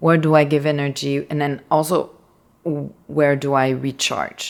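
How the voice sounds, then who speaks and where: A woman with a Quebec accent speaks in a very deep, low voice at a fairly slow pace, her intonation monotone and flat. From Quebec, rural. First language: French. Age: 30s. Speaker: artist. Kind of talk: casual chat.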